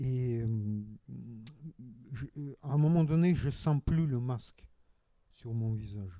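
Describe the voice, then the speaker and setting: A man with a Russian accent speaks very slowly in a dark, mellow tone at medium pitch, with ordinary pitch variation and long, frequent pauses. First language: Russian (speaking French). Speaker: novelist. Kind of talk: panel discussion. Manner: halting.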